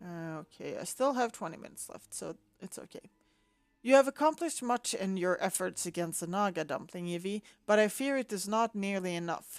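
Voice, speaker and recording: Over music in the background, a woman of medium pitch speaks at a moderate pace with lively intonation, the sound dry and close with no echo. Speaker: gaming video creator. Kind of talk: gameplay commentary with quest text read aloud. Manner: many pauses; halting reading.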